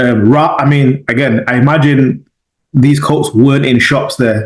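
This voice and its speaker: In a Mancunian accent, a man speaks at a medium pitch with fairly even intonation. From Manchester, England (Moss Side, Hulme), arrived as child. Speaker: podcast host. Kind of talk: podcast interview.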